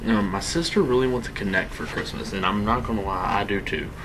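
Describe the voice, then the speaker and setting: Quiet and at a fairly quick pace, a man speaks amid noticeable background noise and audible room echo. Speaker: gaming youtuber. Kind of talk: gameplay commentary. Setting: home, late at night. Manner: quiet, hushed; casual, rambling with fillers.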